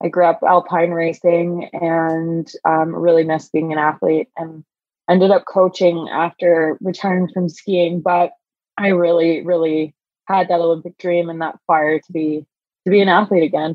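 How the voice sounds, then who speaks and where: A woman's fairly low voice at a moderate pace, with monotone, flat intonation. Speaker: Olympic rower. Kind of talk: casual interview chat.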